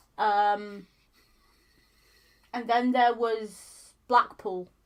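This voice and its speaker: A woman with a strong Yorkshire accent and monotone, flat intonation. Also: fairly high pitch for a woman. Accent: thick Yorkshire. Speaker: streamer co-host. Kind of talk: casual chat.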